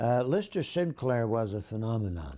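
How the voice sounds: A man speaks at a medium pitch and a moderate pace with a dark, mellow tone. His pitch swings widely.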